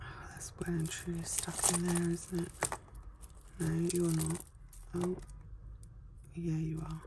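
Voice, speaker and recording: Long, frequent pauses break up very slow speech heard over noticeable background noise. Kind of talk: casual sorting commentary.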